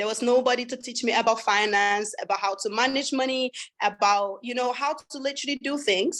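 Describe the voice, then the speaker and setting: Someone with a French accent speaks at a fairly quick pace. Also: woman, high pitch for a woman, ordinary pitch variation. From Sweden, raised partly in West Africa (Liberia, Ivory Coast). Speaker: webinar host. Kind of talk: sales pitch webinar.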